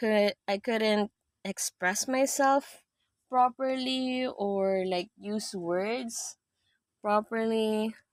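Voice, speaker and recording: With a Filipino accent, a woman talks at a very slow pace with long, frequent pauses and ordinary pitch variation, in a dry, close sound with no echo on a very clean recording with a silent background. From Philippines. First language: Tagalog. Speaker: live streamer. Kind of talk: casual chat. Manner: halting.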